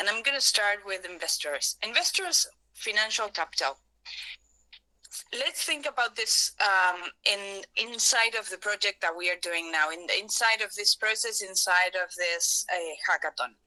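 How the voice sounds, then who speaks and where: With a Spanish accent, the speaker uses lively intonation in a dry, close sound with no echo. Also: woman, medium pitch for a woman, moderate pace. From Argentina. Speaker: workshop facilitator. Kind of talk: workshop talk.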